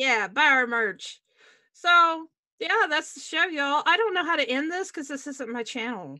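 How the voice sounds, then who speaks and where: Against a quiet background, a woman with a high, bright, sharp voice speaks in a raised, projected way at a moderate pace, with lively intonation and big swings in loudness. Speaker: YouTuber and show host; YouTuber, show host. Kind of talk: casual panel discussion. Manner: laughs often. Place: home room. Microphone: webcam.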